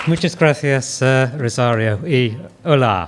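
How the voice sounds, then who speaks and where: In an English accent, a man speaks at a very slow pace with ordinary pitch variation. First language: English (speaking Spanish). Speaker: psychiatrist and professor. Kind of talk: lecture opening. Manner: halting, non-native Spanish with fillers.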